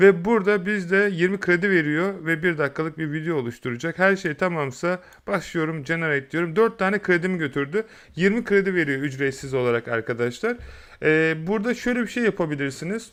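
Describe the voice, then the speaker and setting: A man speaks with a high pitch and lively intonation. The background is quiet. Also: moderate pace. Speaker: YouTube tutorial creator. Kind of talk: tutorial. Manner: casual, hesitant fillers.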